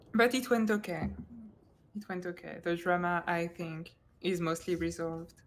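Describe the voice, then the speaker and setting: Fairly low-pitched and fairly even in intonation, a woman speaks at a moderate pace with long, frequent pauses. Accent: French. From France. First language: French. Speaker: esports tournament co-caster. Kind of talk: live-stream casting chat. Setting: live stream. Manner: halting, many restarts.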